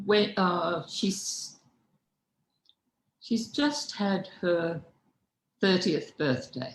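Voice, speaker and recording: A woman speaks very slowly at a medium pitch, leaving long, frequent pauses. Her somewhat breathy voice swings very widely in pitch. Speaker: philosopher. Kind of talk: lecture. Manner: halting.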